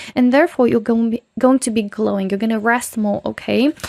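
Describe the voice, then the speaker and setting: A woman with a non-native accent, recorded with a dry, close sound with no echo. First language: not English. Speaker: tarot reader. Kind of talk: pick-a-card tarot reading. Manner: casual, filler-heavy.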